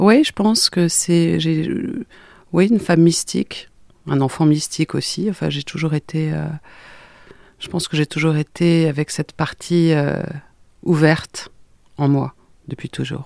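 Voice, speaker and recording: A woman with a very deep, low pitch speaks in a calm tone at a fairly slow pace, leaving long, frequent pauses. The sound is dry and close with no echo, on a very clean recording with a silent background. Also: fairly even intonation. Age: 40s. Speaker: therapist. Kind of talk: testimony.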